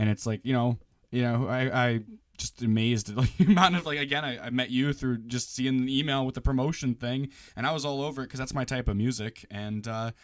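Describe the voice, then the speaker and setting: A man with an American accent speaks at a fairly quick pace in a normal speaking voice. His pitch is medium with ordinary variation, and the recording is very clean with a silent background. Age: 20s. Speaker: radio host and podcaster. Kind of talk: interview conversation.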